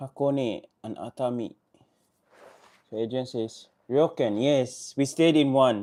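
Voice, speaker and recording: Over a silent background in a very clean recording, a man with a dark, mellow tone and medium pitch talks at a very slow pace, his intonation fairly even and his speech broken by long, frequent pauses. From Solomon Islands. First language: not English. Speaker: vlogger. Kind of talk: live stream chat. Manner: halting.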